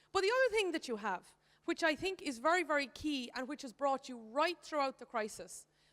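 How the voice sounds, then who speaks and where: In an Irish accent, a woman talks at a fairly quick pace. Her pitch sits high. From Ireland. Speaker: economist. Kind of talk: conference speech.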